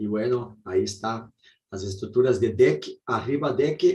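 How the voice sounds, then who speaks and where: In a Brazilian accent, a man speaks somewhat breathily at medium pitch and a fairly slow pace, with ordinary pitch variation. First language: Portuguese (speaking Spanish). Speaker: architect. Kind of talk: presentation. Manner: halting.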